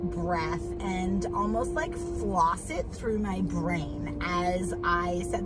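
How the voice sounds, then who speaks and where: Over loud music in the background, a woman speaks at a very slow pace. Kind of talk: casual vlog chat, guided instruction. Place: car. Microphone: phone near.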